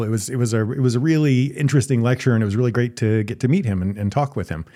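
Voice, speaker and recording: The man's tone is dark and mellow. His pitch sits at a medium level with ordinary variation. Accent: American. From US South. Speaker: political science professor, co-host. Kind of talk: casual chat.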